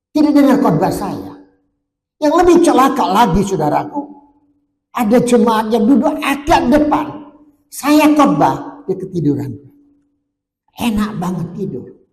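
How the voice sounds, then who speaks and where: A man's extremely high voice with very wide pitch swings, at a fairly slow pace with long, frequent pauses, in audible room echo. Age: 70s. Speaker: pastor. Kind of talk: sermon.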